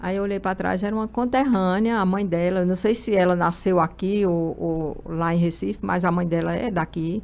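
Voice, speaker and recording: At a moderate pace with hardly any pauses, a woman speaks at medium pitch with ordinary pitch variation. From Brazil, Pernambuco backlands (Araripina). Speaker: human resources manager. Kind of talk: interview.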